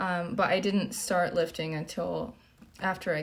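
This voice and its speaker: The woman's voice is somewhat breathy and fairly low in pitch. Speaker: fitness coach and streamer. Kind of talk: casual livestream Q&A.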